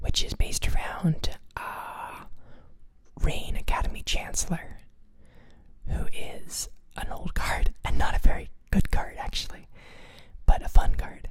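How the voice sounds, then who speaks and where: The speaker is whispering at a very slow pace. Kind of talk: whispered ASMR talk about a card game deck. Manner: whispered, soft.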